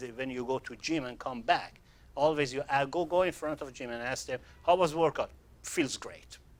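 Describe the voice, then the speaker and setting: A man speaks with a non-native accent. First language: not English. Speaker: sales trainer. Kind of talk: training seminar. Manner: halting.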